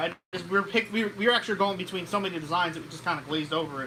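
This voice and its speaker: Over noticeable background noise, a man with a high pitch uses a raised, projected voice with ordinary pitch variation. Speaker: car repair channel co-host. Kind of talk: live stream chat. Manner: halting.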